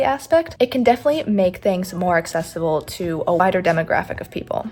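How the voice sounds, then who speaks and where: Over noticeable background noise, a woman talks at a very fast pace. Her intonation is lively. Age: 19. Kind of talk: voiceover commentary. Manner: shy, stutters.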